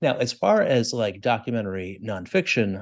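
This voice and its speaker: Against a quiet background, a man with a plain, everyday voice talks at a moderate pace with lively intonation. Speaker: podcast co-host. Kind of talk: casual chat.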